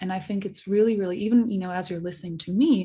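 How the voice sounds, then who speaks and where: With a non-native accent, a woman speaks at medium pitch in a dark, mellow, somewhat breathy tone, her pitch varying in an ordinary way. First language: not English. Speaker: social media researcher. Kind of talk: podcast interview.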